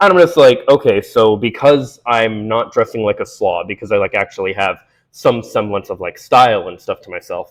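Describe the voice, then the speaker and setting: A man's voice with big swings in loudness, in a very clean recording with a silent background. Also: moderate pace. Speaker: video essayist. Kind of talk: monologue to camera. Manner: conversational, many fillers.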